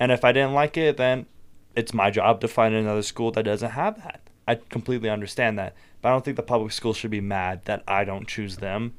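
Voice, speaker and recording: Fairly quick and fairly even in intonation, a man's plain, everyday voice sits at medium pitch in a very clean recording with a silent background. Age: 18, just turned adult. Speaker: podcast guest, recent high school graduate. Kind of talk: casual chat.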